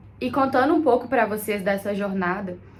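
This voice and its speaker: A woman's voice over noticeable background noise. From Brazil. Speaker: content creator. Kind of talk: casual vlog talk.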